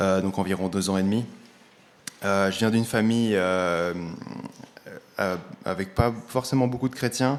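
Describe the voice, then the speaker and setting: A man with a fairly low pitch speaks at a fairly slow pace, his pitch varying in an ordinary way. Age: 20s. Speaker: church member giving testimony. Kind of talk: testimony. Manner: halting.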